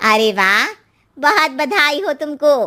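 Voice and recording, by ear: A woman's cartoonish character voice, high-pitched, with very wide pitch swings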